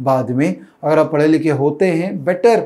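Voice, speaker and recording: At a fairly slow pace, a man talks in a dark, mellow tone with a fairly high pitch. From India. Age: 40s. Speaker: finance educator and YouTuber; finance educator, YouTuber. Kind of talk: personal monologue to camera. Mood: warm, earnest. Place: studio. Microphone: lapel.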